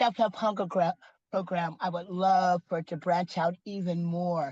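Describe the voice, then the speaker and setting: In a quiet setting, a woman speaks at a moderate pace with fairly even intonation. Her fairly low voice is somewhat breathy with a dark, mellow tone. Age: 70s. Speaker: community food program founder. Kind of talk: interview.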